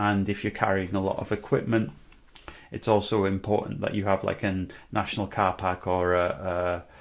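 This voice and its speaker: With a North Welsh accent, a man speaks in a fairly even intonation. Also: fairly low pitch for a man, moderate pace. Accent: North Welsh, guttural with rolled R's. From North Wales. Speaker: musician vlogger. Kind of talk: casual vlog monologue. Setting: indoors, corner of a room. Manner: hesitant, many fillers.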